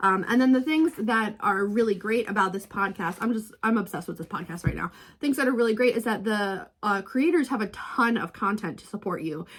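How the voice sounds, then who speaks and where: A woman with a fairly high pitch speaks in a somewhat breathy, animated tone with lively intonation. She moves at a fairly quick pace with hardly any pauses. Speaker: book vlogger. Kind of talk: casual vlog. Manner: fast.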